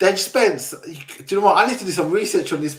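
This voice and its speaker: Here a man talks in a South London accent at a very fast pace. His tone is animated, his pitch high, with ordinary pitch variation. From South London, England. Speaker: football fan show host. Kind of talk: casual chat.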